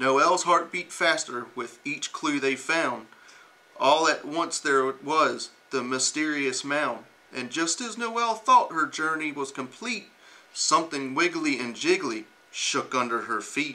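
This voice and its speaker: A man's very slow delivery with lively intonation. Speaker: uniformed reader. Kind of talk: storybook reading aloud. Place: classroom.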